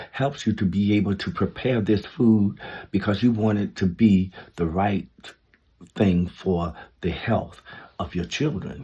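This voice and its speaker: Somewhat breathy and dark, mellow in tone, a man talks with ordinary pitch variation against a quiet background. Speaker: vlogger giving life advice. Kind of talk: casual monologue. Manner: slow; halting.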